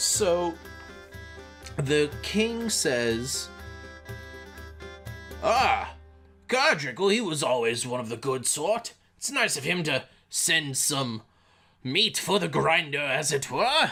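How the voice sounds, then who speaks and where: Using a put-on character voice at a fairly high pitch, a man speaks at a very slow pace with long, frequent pauses while faint music plays in the background. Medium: actual play. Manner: jovial, old-fashioned upper-class chatter.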